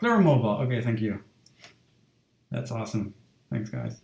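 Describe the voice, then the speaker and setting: This is a man speaking at a medium pitch. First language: not English. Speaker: illustrator streaming a drawing session. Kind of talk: casual live-stream talk. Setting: home live stream, door shut. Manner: halting, many fillers.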